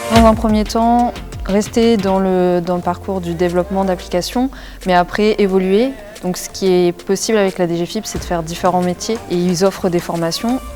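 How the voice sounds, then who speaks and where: A woman speaks at a moderate pace in a medium pitch. Music plays in the background. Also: ordinary pitch variation. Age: 20s. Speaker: engineering graduate. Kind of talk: interview testimony. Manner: hesitant, many fillers.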